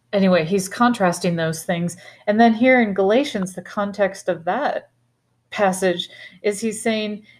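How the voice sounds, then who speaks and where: A woman's unremarkable speaking voice at medium pitch and a moderate pace, with ordinary pitch variation, on a very clean recording with a silent background. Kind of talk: Bible teaching discussion, scripture reading.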